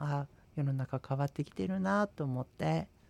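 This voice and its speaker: An ordinary speaking voice from a man, fairly high in pitch, at a fairly slow pace, with a dry, close sound and no echo. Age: 40s. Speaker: Buddhist priest and radio co-host. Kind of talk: casual radio talk.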